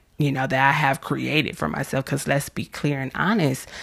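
A woman speaks with vocal fry. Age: 30s. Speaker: self-help podcast host. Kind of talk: motivational monologue. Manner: casual with frequent fillers.

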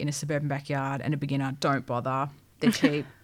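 Speaking with an Australian accent, a woman uses a very deep, low pitch. The recording is very clean, with a silent background. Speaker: podcast co-host. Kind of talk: casual chat.

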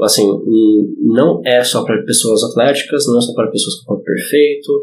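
A man at a medium pitch. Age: 30s. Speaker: historical fencing instructor. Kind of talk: casual chat. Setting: studio.

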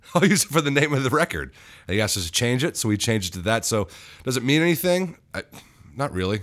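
A man talks very fast at a medium pitch with vocal fry. His pitch swings very widely. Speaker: band singer and musician. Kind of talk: casual interview chat. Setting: studio, in person. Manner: joking, self-deprecating.

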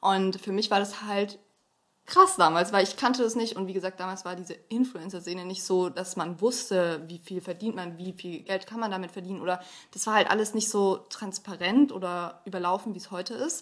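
A woman with an ordinary speaking voice, medium in pitch, at a moderate pace with fairly even intonation and big swings in loudness. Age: 20s. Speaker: influencer and student. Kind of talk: casual chat.

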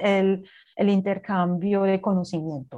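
Against a quiet background, a woman speaks very slowly with a German accent. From Germany, Berlin. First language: German (speaking Spanish). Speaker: cultural coordinator at a language institute. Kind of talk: interview.

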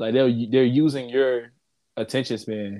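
A man speaks at a medium pitch in a plain, everyday voice. His pace is moderate and his intonation fairly even. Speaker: podcast host and musician. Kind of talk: casual chat. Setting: remote call.

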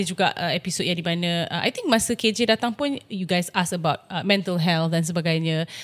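Lively intonation from a woman with a medium pitch at a fairly quick pace, against noticeable background noise. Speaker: podcast co-host, former reporter. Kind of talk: casual chat.

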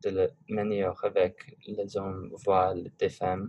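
A man speaks with an English accent. He goes at a very slow pace. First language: English (speaking French). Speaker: student podcast host. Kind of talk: class podcast discussion. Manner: hesitant, many fillers.

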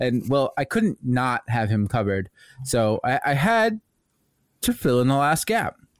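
A fairly slow voice with very wide pitch swings and very even loudness, dry and close with no echo, on a very clean recording with a silent background. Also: man, medium pitch for a man. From US Midwest. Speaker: podcast co-host. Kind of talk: casual chat.

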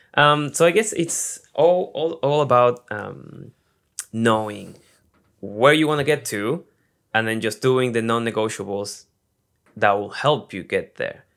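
On a very clean recording with a silent background, a man with an Argentine accent speaks at a medium pitch with lively intonation and long, frequent pauses. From Argentina. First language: Spanish. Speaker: actor and YouTuber. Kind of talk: casual interview.

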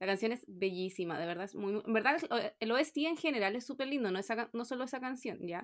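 Pitched high, a woman speaks with lively intonation at a fairly quick pace. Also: very clean recording, silent background. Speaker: podcast co-host. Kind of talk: casual chat.

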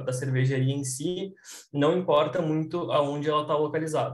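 Somewhat breathy, fairly high-pitched male speech with audible room echo. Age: 20s. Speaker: microbiologist, brewing consultant. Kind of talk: interview explanation.

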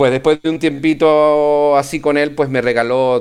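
A man's fairly slow delivery. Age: 40s. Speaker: ham radio operator. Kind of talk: interview. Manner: halting, many fillers and repeats.

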